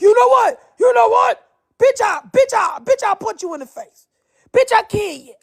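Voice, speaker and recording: A man puts on a gruff character voice at an extremely high pitch, speaking at a moderate pace. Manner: aggressive, threatening.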